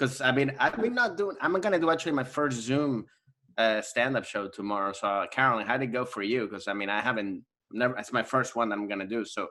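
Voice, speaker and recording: A man with a Spanish accent talks at a very fast pace in a medium pitch, his tone bright and sharp and his intonation lively. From US, Maryland (born in Venezuela). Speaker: comedian. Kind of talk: casual chat.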